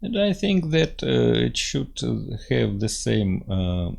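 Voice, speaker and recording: At a very slow pace, a man talks with a Russian accent. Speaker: engineering software teacher. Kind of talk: tutorial. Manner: halting, many fillers.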